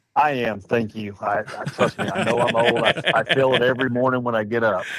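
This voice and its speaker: With an American accent, a man speaks in fairly even intonation over noticeable background noise. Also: medium pitch for a man. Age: 60s. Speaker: festival committee chair. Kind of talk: interview. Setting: studio in an Airstream trailer.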